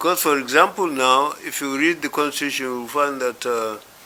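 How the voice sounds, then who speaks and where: Noticeable background noise sits behind a man talking at a moderate pace. His pitch is medium, with ordinary variation. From Nigeria. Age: 80s+. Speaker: elder statesman. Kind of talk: interview. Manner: hesitant, many fillers.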